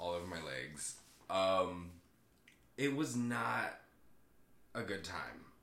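Speaking at a very slow pace with an American accent, a man with a very deep, low pitch and a bright, sharp tone uses lively intonation amid audible room echo. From Southern California. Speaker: actor. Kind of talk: casual chat.

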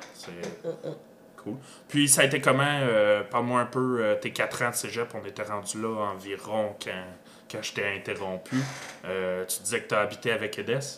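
A man with a Quebec accent talks at a fairly slow pace in a medium pitch. His pitch varies normally, while his loudness swings widely. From Granby, Quebec. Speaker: podcast host. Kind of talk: casual interview chat. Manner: hesitant, many filler words and repetitions.

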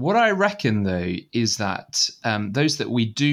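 A man uses an ordinary speaking voice at a medium pitch and a fairly slow pace. The recording is very clean with a silent background. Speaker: student ministry worker. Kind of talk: casual interview.

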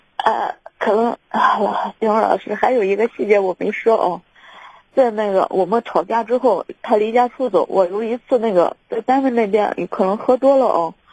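The speaker is a woman with a fairly high pitch that varies in an ordinary way, talking at a moderate pace. Her voice sounds dry and close, without any echo. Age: 30s. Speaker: caller seeking relationship advice. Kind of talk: phone-in advice call. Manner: halting, many fillers.

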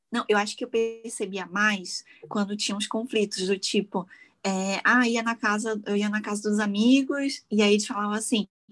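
With music in the background, a woman speaks at a moderate pace, her fairly high voice keeping fairly even intonation. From Brazil, Petrópolis (Rio de Janeiro state). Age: 30s. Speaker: makeup artist and content creator. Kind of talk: casual chat.

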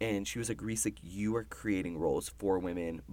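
Quiet, animated speech with ordinary pitch variation. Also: man. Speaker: college student. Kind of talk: casual chat.

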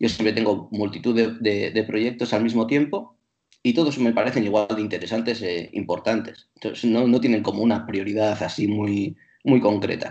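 Over a quiet background, a man talks at a moderate pace in a medium pitch. He has an ordinary speaking voice. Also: fairly even intonation. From Bilbao, Basque Country, Spain. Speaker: traveller and teacher. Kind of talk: casual chat.

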